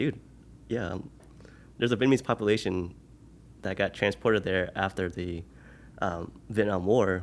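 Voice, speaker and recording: A man with an Oklahoma accent and a very deep, low pitch at a moderate pace, in a very clean recording with a silent background. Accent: American, Oklahoma. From US, Oklahoma City. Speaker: podcast guest. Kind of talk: casual interview. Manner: animated.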